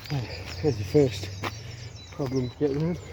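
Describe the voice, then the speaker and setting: Quiet and medium in pitch, a man speaks over noticeable background noise. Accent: West Midlands. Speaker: outdoor vlogger. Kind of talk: casual vlog narration. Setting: outdoors. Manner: talking quietly.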